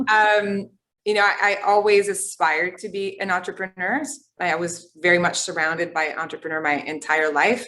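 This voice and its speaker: At a moderate pace, a woman with a slight Quebec accent speaks in a bright, sharp tone. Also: medium pitch for a woman, ordinary pitch variation. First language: French. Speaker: tech company founder and CEO. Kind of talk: interview. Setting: online webinar.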